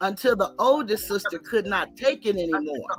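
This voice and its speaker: A woman with an ordinary speaking voice. She keeps a moderate pace and lively intonation. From Texas, Dallas. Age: 60s. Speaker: caller. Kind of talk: casual chat.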